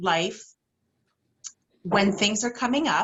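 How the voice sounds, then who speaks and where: Lively intonation marks this woman's fairly high-pitched voice. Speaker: intuitive healer. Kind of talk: workshop talk.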